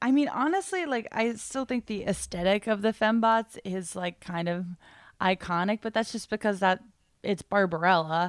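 The recording is very clean, with a silent background. A woman with a normal speaking voice talks at a medium pitch and moderate pace, with ordinary pitch variation. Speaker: podcast host. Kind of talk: casual chat.

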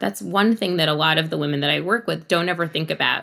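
A woman talks with a fairly low pitch and vocal fry. Her pitch varies in an ordinary way. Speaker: image and personal brand consultant. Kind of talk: casual interview.

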